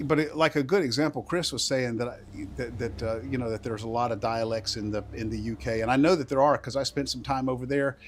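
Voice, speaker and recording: A man with a Southern US accent and a medium pitch speaks at a fairly quick pace. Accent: Southern US accent, moderately strong. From US South, rural. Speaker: gaming streamer. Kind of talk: live gameplay stream commentary. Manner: halting, many repetitions and false starts.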